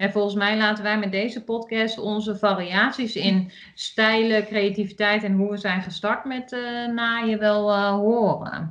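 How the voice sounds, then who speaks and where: In an Achterhoek accent, a woman speaks fairly slowly at a fairly high pitch, flat and monotone, with hardly any pauses. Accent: regional Achterhoek accent, remarked on. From Achterhoek, eastern Netherlands. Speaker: podcast co-host, sewing hobbyist. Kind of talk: casual chat.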